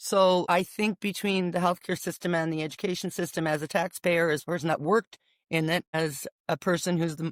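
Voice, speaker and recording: On a very clean recording with a silent background and a dry, close sound with no echo, a woman with an unremarkable speaking voice talks fairly quickly at a fairly low pitch with fairly even intonation. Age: 60s. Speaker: former nurse and business owner. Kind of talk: casual chat.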